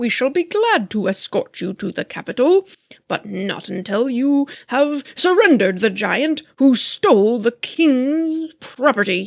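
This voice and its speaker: A woman's shrill, high-pitched put-on character voice, at a fairly slow pace with hardly any pauses. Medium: read story. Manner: commanding, threatening.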